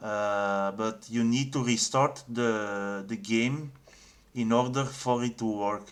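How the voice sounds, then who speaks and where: With a non-native accent, a man talks at a medium pitch using fairly even intonation. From Belgium. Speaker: game developer. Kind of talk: tutorial. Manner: halting, many fillers and repeats.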